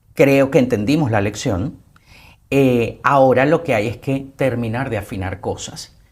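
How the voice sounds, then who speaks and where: A man with an ordinary speaking voice, medium pitch, ordinary pitch variation and a fairly slow pace. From Venezuela. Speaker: actor, TV host, broadcaster and publicist, interview guest. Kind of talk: interview answer.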